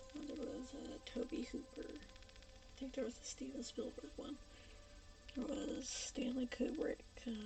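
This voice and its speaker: Music plays in the background as a woman talks fairly slowly. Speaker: video creator doing horror makeup. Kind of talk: casual talk while working. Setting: at home late at night.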